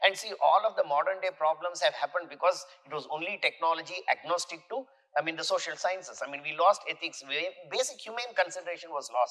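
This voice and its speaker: Over noticeable background noise, a man with an Indian accent and a high pitch talks at a very fast pace. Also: ordinary pitch variation. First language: an Indian language, not English. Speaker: university vice chancellor. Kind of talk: podcast interview. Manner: halting, with many self-corrections.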